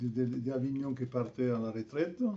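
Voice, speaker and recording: A man with an Italian accent speaks over noticeable background noise. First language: Italian (speaking French). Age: 70s. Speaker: fencing master. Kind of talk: interview. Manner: halting.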